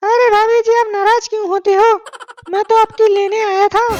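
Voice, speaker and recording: A woman uses a cartoonish character voice at an extremely high pitch. She keeps a moderate pace and monotone, flat intonation. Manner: syrupy, flirtatious.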